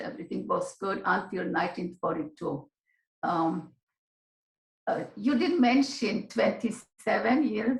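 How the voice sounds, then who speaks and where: A woman's somewhat breathy voice moves at a fairly slow pace, with lively intonation. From Slovakia, Košice. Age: 80s+. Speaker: Holocaust survivor. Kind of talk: interview. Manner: halting.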